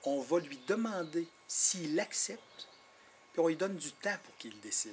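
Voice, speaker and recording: A man in a Quebec accent, with very wide pitch swings, over noticeable background noise. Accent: Quebec French, marked. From Quebec, Innu nation. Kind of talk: interview. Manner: hesitant, repeats words.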